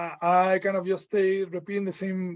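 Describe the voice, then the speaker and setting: A man's high-pitched voice with a Mexican accent at a fairly slow pace. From Mexico. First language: Spanish. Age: 30s. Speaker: visual artist. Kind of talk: portfolio presentation. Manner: halting, many fillers and repeats.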